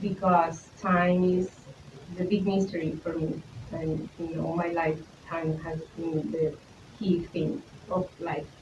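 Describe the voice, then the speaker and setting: Very slowly and with long, frequent pauses, a woman with a Spanish accent speaks at a fairly low pitch in a monotone, flat way over noticeable background noise. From Colombia. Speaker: visual artist, photographer. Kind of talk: artist talk presentation. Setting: talk with live audience. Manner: halting, many fillers and repetitions.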